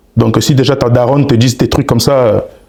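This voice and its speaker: An animated tone over noticeable background noise. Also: man. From Congolese. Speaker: relationship advice content creator. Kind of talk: podcast interview. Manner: loud.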